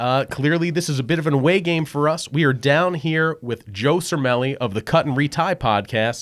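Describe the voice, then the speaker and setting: A man with a Philadelphia accent, fairly high-pitched and lively in intonation, on a very clean recording with a silent background. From southern New Jersey. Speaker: podcast host. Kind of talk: casual interview chat. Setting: guest's podcast studio.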